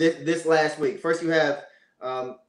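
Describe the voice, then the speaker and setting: A man speaks with ordinary pitch variation. Audible room echo surrounds his voice. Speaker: remote podcast guest. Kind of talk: interview answer. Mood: earnest, measured. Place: home room. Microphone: video call.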